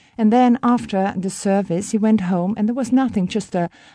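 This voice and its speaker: With a Dutch accent, a woman speaks at medium pitch in a dark, mellow tone. Her pace is moderate, and her pitch varies in an ordinary way. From Netherlands. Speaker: guest from the Netherlands. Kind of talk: interview, childhood memories.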